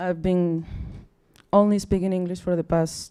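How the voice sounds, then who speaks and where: A woman with a Mexican accent speaks at a medium pitch and a fairly slow pace, her tone dark and mellow. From Mexico. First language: Spanish. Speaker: astronomy outreach officer. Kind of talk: public science talk. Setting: stage with audience. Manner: halting.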